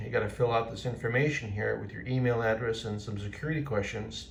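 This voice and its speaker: A man's somewhat breathy voice. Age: 60s. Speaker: retired aviation quality leader, returning pilot. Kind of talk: casual talk to camera. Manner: enthusiastic, chatty.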